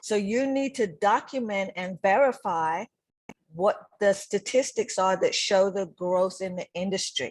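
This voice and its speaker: A woman speaks at a moderate pace with ordinary pitch variation, in a plain, everyday voice. The recording is very clean, with a silent background. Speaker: business consultant. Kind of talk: workshop lecture.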